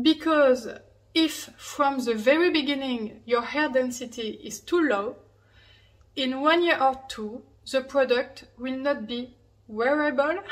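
Speaking at a fairly slow pace, a woman with a French accent has a high pitch and ordinary pitch variation. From France. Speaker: hairpiece brand owner. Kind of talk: tutorial. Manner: halting; laughs often.

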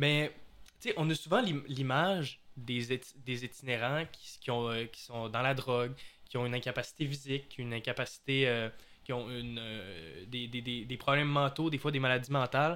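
A man speaks at a moderate pace with medium pitch. His tone is bright and sharp. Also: ordinary pitch variation. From Quebec, Saguenay. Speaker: podcast host. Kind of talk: casual podcast chat.

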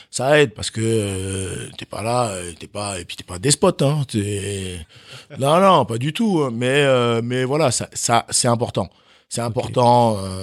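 A man's medium-pitched voice at a very slow pace, on a very clean recording with a silent background. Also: lively intonation. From France, Chalon-sur-Saône (born in Benin, moved at 6). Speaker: professional handball player. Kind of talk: casual interview. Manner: halting, many fillers and repetitions.

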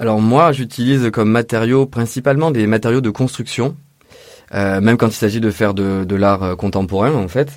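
A man speaks at a moderate pace with a medium pitch. His pitch varies in an ordinary way. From Provence, Vaucluse (Orange). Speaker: sculptor and interior designer. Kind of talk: interview. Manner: hesitant, with fillers.

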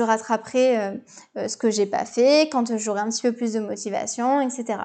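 A woman speaking at a fairly slow pace. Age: 20s. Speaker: business coach and podcast host. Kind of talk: solo podcast Q&A. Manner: casual, hesitant with fillers.

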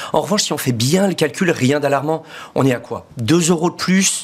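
A man with a plain, everyday voice, ordinary pitch variation and a moderate pace. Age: 40s. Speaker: entrepreneur. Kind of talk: interview.

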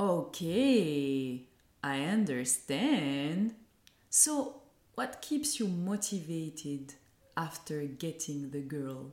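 A woman with a French accent speaks very slowly at a very deep, low pitch. Her pitch swings very widely. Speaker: podcast host, mindset coach. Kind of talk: interview.

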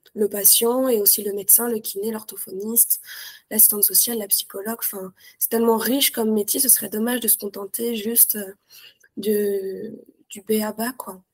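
Recorded with a dry, close sound and no echo, a woman speaks at a fairly high pitch. Her intonation is monotone and flat, and her pace is moderate. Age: 20s. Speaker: nurse. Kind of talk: interview. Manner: hesitant.

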